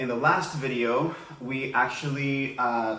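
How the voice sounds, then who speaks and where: In a Spanish accent, a man talks at medium pitch amid noticeable background noise and audible room echo. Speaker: elementary school teacher. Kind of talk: tutorial. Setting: home living room.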